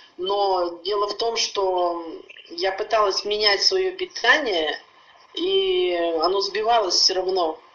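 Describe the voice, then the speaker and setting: Noticeable background noise sits under speech at a very slow pace with ordinary pitch variation. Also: woman, medium pitch for a woman. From Urals, Russia (Yekaterinburg). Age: 60s. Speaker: customer giving a product testimonial. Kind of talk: testimony.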